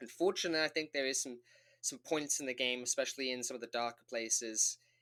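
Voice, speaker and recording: A man's voice at a medium pitch, bright and sharp in tone, with ordinary pitch variation, in a very clean, dry, close recording with no echo and a silent background. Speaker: gaming youtuber. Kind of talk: game review. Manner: casual, halting with repetitions.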